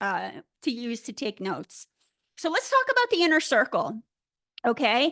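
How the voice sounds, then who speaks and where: A woman's raised, projected voice, high-pitched with a bright, sharp tone and very wide pitch swings, broken by long, frequent pauses, with a dry, close sound with no echo and a quiet background. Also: moderate pace. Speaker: business coach trainer. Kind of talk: live webinar training. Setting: live video stream. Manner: casual, upbeat.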